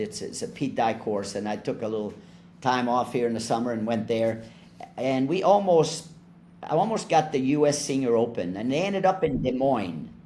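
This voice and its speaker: Over audible room echo, a man with a dark, mellow tone speaks at a moderate pace and medium pitch with lively intonation. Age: 70s. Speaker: golf resort representative, former golf club manager. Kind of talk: casual chat. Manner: halting, many fillers.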